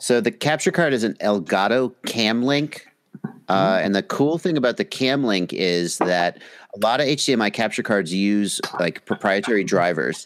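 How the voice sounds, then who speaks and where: In a dry, close recording with no echo, a man with an American accent and an ordinary speaking voice talks at medium pitch and a fairly slow pace, with lively intonation and very even loudness. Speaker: drone hobbyist and video creator. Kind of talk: casual chat. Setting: live video call stream.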